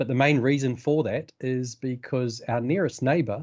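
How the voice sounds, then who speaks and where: This man speaks at a medium pitch. He talks with a New Zealand accent. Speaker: data analytics expert, author. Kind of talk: technical presentation. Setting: video call. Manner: halting, many fillers.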